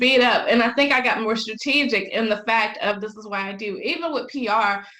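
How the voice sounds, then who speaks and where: In a Southern US accent, the speaker uses ordinary pitch variation over noticeable background noise. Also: woman, fairly high pitch for a woman. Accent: Southern US drawl. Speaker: business owner, publicist. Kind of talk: podcast interview answer. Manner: high-energy.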